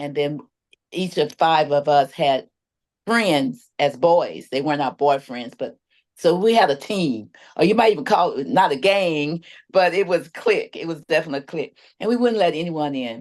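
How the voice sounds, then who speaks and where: In a quiet setting, a woman speaks with a very deep, low pitch. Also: lively intonation, moderate pace. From Texas. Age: 70s. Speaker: community advocate and apostle. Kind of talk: testimony.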